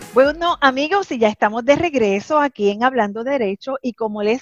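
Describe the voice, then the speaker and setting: Over a quiet background, a woman with an unremarkable speaking voice talks at a moderate pace with lively intonation, the sound dry and close with no echo. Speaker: radio host and lawyer. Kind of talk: radio interview.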